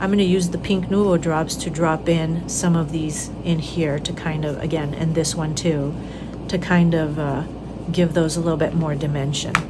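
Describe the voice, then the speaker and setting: The delivery is monotone and flat at a moderate pace. Audible room echo and noticeable background noise are present. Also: woman, fairly low pitch for a woman. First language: Spanish. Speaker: craft tutorial host. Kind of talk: tutorial. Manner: casual, with many fillers.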